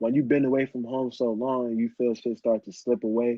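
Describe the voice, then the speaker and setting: A man's medium-pitched voice with an American accent and monotone, flat intonation. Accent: New Jersey accent, sometimes slipping. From New Jersey, US. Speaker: hip hop artist. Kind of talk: casual podcast interview.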